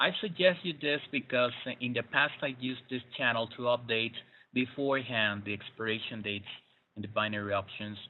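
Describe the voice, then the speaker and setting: A man with a Spanish accent talks at a fairly quick pace, his medium pitch showing ordinary variation. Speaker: trading webinar presenter. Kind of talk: webinar. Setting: online webinar broadcast. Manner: hesitant, many fillers.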